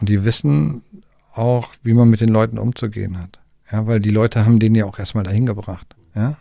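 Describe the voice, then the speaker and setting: Fairly quick in pace, a man speaks with a fairly low pitch and a dark, mellow tone. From Germany, Harz region. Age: 50s. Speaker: tour bus driver and company owner. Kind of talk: interview, storytelling. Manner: casual, many fillers (ja, ne, so).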